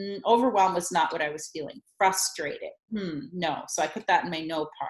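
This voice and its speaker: This woman has an unremarkable speaking voice at a medium pitch. She talks at a fairly quick pace with ordinary pitch variation. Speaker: communication coach and workshop leader. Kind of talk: casual conversation, explaining a tool.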